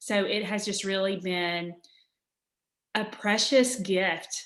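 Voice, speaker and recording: A woman speaks with a Southern US accent. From Alabama. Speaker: author. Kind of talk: interview answer.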